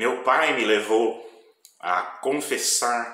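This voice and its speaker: Speaking at a very slow pace, a man is heard with audible room echo. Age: 60s. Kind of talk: testimony.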